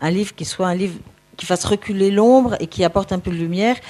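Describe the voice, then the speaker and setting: A woman speaks in a dark, mellow tone. She moves at a fairly quick pace with ordinary pitch variation. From France, Versailles. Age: 70s. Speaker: former nun, author. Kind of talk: personal testimony. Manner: halting.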